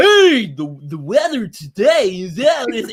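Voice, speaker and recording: A man's put-on character voice, high-pitched with very wide pitch swings, at a fairly slow pace. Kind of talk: old school radio talk.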